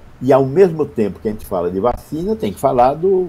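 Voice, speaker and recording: Fairly high for a man, this speaker's voice is somewhat breathy with a dark, mellow tone. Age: 70s. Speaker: public health doctor. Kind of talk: interview.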